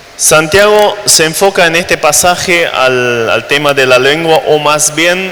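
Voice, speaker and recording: A man with a German accent speaks in a fairly high pitch with lively intonation over noticeable background noise. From Germany, raised in Latin America. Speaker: missionary preacher. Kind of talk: sermon. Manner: hesitant, frequent fillers and repetitions.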